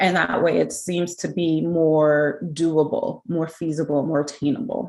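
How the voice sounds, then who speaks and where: A woman speaks with a very deep, low pitch. Her pace is fairly slow and her intonation fairly even. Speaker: smoking cessation program presenter. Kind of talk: conference presentation.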